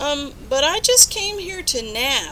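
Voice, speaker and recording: Against clear background noise, a woman uses a put-on character voice at a fairly slow pace. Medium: read story.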